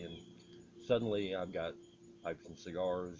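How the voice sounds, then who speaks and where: A man's very deep, low voice with vocal fry, a relaxed tone and a fairly quick pace. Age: 60s. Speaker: pipe smoking vlogger. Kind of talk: casual monologue vlog. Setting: outdoors on a porch. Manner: relaxed, meandering with fillers.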